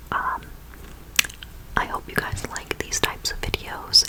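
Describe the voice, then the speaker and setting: Someone whispers over noticeable background noise. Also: woman. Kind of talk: ASMR whisper ramble storytime. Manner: whispered, soft-spoken.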